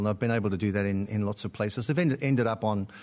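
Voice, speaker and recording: Against a quiet background, a man with an Australian accent talks at a very fast pace with ordinary pitch variation. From born in Britain, lived in Australia about 30 years. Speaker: podcast guest, musician and theatre director.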